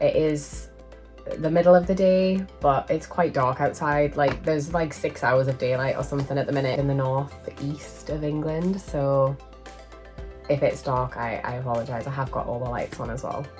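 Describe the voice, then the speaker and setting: Over music in the background, the speech moves at a moderate pace. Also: woman. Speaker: manga collector vlogger. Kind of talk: casual vlog haul. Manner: chatty, hesitant.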